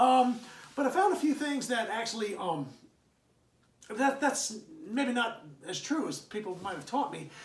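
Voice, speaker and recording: A man is speaking. There is audible room echo and noticeable background noise. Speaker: history teacher. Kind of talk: lecture. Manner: fast; halting, many fillers.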